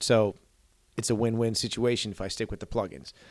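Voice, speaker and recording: An unremarkable speaking voice from a man with an American accent, fairly quick, on a very clean recording with a silent background. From Chicago area, Illinois. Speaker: metal vocalist and recording studio owner. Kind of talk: casual chat.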